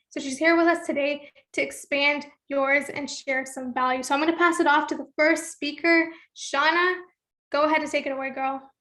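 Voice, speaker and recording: A woman with a high pitch speaks in a raised, projected voice at a moderate pace. Her tone is bright and sharp, and her intonation stays monotone and flat. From Toronto, Canada. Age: 20s. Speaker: entrepreneur and webinar host. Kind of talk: webinar introduction. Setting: online webinar call.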